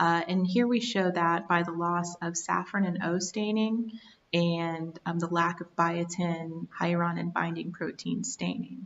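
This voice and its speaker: Using an unremarkable speaking voice, a woman talks at a fairly low pitch with fairly even intonation. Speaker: research scientist. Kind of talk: reading slides aloud.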